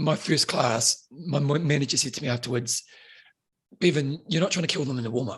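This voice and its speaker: Somewhat breathy, this man has a fairly high pitch. He moves at a fairly quick pace. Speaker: fitness instructor and author. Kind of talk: casual chat. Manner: fast; animated.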